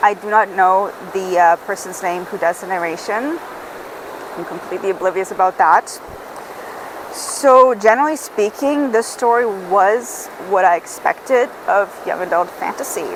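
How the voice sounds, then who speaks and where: A moderate pace and ordinary pitch variation over noticeable background noise. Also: woman, medium pitch for a woman. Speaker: book reviewer. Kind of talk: casual book review monologue. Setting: outdoors on a beach.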